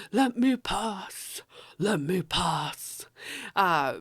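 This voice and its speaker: The speaker does a put-on character voice at a middle pitch on a very clean recording with a silent background. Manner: urgent, demanding.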